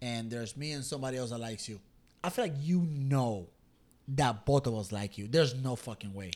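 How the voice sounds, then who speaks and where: On a very clean recording with a silent background, a man with an ordinary speaking voice talks fairly quickly at medium pitch with ordinary pitch variation. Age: 30s. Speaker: podcast host. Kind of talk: casual chat. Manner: casual, joking.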